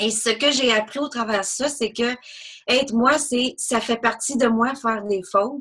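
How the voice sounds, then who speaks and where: Her pitch fairly high and varying in an ordinary way, a woman speaks at a fairly slow pace. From British Columbia, Canada. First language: English (speaking French). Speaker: NLP trainer. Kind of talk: interview. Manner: spontaneous.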